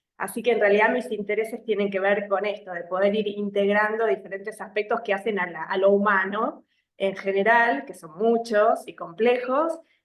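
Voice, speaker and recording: A woman with an Argentine accent and ordinary pitch variation. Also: medium pitch for a woman, moderate pace, hardly any pauses, big swings in loudness. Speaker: psychologist. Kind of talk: casual interview.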